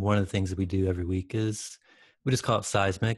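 A man with a plain, everyday voice and an American accent speaks fairly quickly at a fairly low pitch with fairly even intonation, on a very clean recording with a silent background. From Michigan, rural area west of Detroit. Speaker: campus pastor and missionary. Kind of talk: interview conversation.

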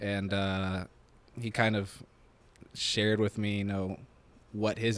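Speaking in an American accent, a man holds a fairly low pitch with monotone, flat intonation. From Nebraska. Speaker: podcast co-host. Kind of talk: casual chat. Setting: apartment.

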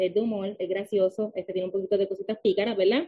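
A woman speaks with ordinary pitch variation. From Puerto Rico. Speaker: author. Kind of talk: interview.

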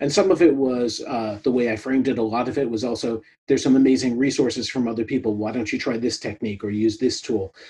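Talking at a fairly quick pace, a man with an American accent has a dark, mellow tone and a medium pitch. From New York, US. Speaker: product consultant and podcast host. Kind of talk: interview conversation. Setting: video call.

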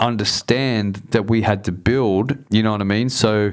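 A man with an Australian accent, medium in pitch, at a moderate pace with ordinary pitch variation. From Southwest Sydney, Australia. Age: 40s. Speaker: hip hop artist. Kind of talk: casual chat.

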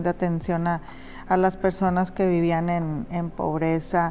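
Her voice fairly low, a woman talks with monotone, flat intonation. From Monterrey, northern Mexico. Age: 50s. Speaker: social activist, nonprofit founder. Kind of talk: interview. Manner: halting, many repetitions and fillers.

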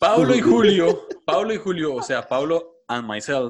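A man speaks at a moderate pace, his pitch high. His voice swings very widely up and down. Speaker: podcast co-host. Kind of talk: casual chat.

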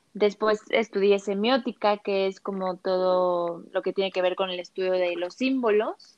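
A woman speaks in an ordinary speaking voice. Her medium pitch follows a fairly even intonation. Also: fairly slow pace. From Mexico City. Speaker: image consultant. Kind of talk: interview.

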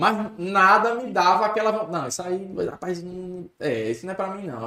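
At a moderate pace, a man speaks. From Natal, Rio Grande do Norte, Brazil. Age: 30s. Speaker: sports commentator. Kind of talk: casual chat.

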